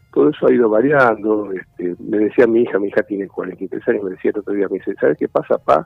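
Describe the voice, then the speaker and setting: With music in the background, a man talks at a very fast pace with hardly any pauses. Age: 70s. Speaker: doctor and family business consultant. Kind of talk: interview.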